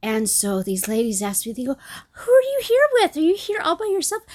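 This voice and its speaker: A woman is speaking. She is soft-spoken. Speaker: podcast host. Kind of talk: casual chat.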